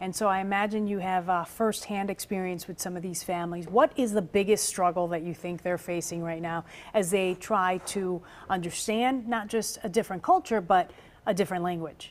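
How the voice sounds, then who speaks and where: Fairly even intonation from a woman, medium in pitch, at a moderate pace. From Puerto Rico and US. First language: Spanish. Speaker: TV host. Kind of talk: interview.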